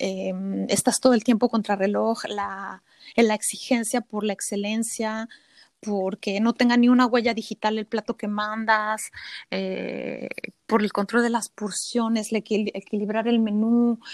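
At a fairly slow pace, a woman speaks with a fairly high pitch and a monotone, flat intonation. The very clean recording has a silent background and a dry, close sound with no echo. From Mexico City. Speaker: cook. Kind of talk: casual interview.

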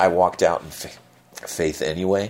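A man talks at a very deep, low pitch with vocal fry and ordinary pitch variation. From US Midwest, moved around. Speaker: interviewee sharing faith story. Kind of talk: testimony.

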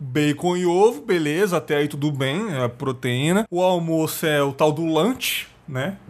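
A man has an ordinary speaking voice with fairly high pitch and ordinary pitch variation. He speaks at a fairly slow pace with hardly any pauses. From São Paulo city, Brazil. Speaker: podcast host. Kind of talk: casual interview chat.

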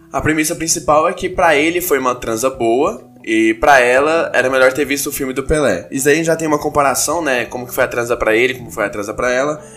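Amid noticeable background noise, a man with a fairly high pitch talks at a very fast pace, with hardly any pauses. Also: ordinary pitch variation. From Brazil, Goiânia. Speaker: aspiring comedian and podcast host. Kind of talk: comedy analysis podcast monologue.

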